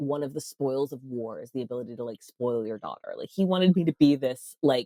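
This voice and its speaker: A woman with an American accent at a fairly quick pace, in dry, close sound with no echo. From US, military family (army brat). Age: 30s. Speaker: podcast host and sex worker rights advocate, former stand-up comic. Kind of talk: casual interview chat, storytelling.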